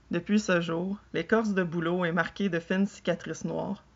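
The voice is reading aloud in a natural voice. Intonation stays fairly even.

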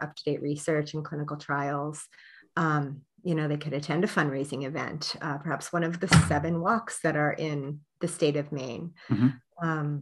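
At a moderate pace, the speaker uses fairly even intonation with an American accent. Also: woman. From Pennsylvania. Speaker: nonprofit program director; guest. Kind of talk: interview. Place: home room. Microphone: webcam.

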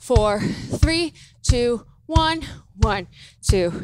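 There is music in the background as a woman speaks at a high pitch. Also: dry sound with no echo. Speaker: fitness instructor. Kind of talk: workout instruction cues. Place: gym. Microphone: headset.

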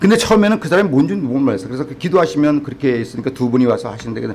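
Lively intonation at a very fast pace. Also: man. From South Korea. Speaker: pastor. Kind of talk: sermon. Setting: church. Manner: animated. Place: church. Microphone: podium.

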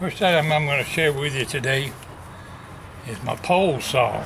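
There is noticeable background noise as a man speaks. He keeps a moderate pace with ordinary pitch variation. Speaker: vlogger. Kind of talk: casual vlog chat. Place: garage. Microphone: camera far.

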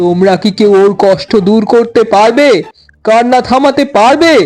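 Faint music plays in the background as a man speaks at a fairly slow pace. He uses a put-on character voice pitched high. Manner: solemn.

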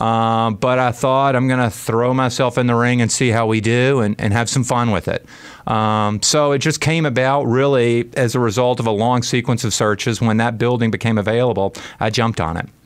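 In a plain, everyday voice, a man with an American accent speaks at a medium pitch and very even loudness. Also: fairly even intonation, moderate pace. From US South, Birmingham, Alabama. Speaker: restaurant owner. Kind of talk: radio interview. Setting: radio studio.

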